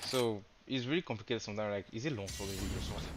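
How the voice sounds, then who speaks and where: A man with a non-native accent speaks at a medium pitch with ordinary pitch variation. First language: not English. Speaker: game streamer. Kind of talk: casual live stream chat. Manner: hesitant, many fillers.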